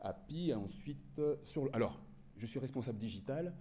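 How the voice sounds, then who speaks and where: A man's dark, mellow tone with vocal fry and lively intonation, plus audible room echo. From France. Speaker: digital marketing manager. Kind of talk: conference presentation.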